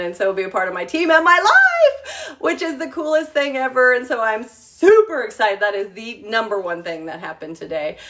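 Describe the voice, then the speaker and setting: A woman with lively intonation at a moderate pace, with noticeable background noise. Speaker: travel agent and home-cooking livestreamer. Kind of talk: casual livestream chat. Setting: live video from her home kitchen. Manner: rambling with many fillers (um, uh).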